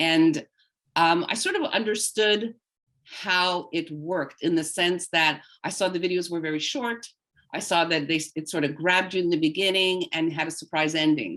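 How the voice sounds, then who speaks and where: This woman has a plain, everyday voice, fairly low in pitch, speaking at a moderate pace with ordinary pitch variation. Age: 60s. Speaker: voice actor and social media creator. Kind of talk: webinar interview.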